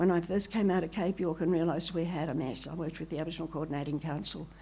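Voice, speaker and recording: Talking very fast with an Australian accent, a woman has a fairly low pitch and a dark, mellow tone. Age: 80s+. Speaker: professor. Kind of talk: conference talk. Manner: animated.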